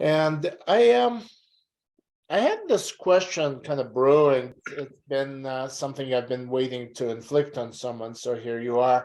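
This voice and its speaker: Using an unremarkable speaking voice, a man talks at a medium pitch. His pace is fairly slow, and his pitch variation is ordinary. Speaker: journalist interviewer. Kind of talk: interview question.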